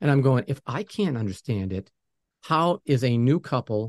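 In an unremarkable speaking voice, a man with an American accent talks at a medium pitch with lively intonation, the sound dry and close with no echo against a quiet background. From New England, US. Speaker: music producer and podcast host. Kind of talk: interview.

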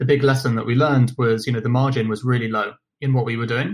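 A man's medium-pitched voice with a British accent and fairly even intonation. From London, England. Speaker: company founder and podcast host. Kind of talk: interview conversation. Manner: hesitant, many fillers.

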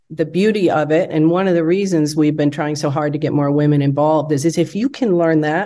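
A woman with an American accent speaks in a very deep, low voice that has a dark, mellow tone. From US Midwest, Wisconsin. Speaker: business founder. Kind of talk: interview.

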